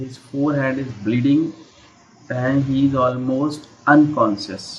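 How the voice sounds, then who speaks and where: Speaking fairly slowly with an Indian accent, a man keeps a medium pitch and fairly even intonation while noticeable background noise runs underneath. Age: 50s. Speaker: English teacher. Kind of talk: online English lesson. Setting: Skype call.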